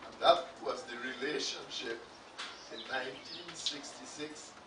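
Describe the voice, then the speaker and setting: A man talks fairly slowly, his voice carrying audible room echo over noticeable background noise. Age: 80s+. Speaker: retired teacher giving eulogy. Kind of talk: eulogy. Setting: funeral service. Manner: formal.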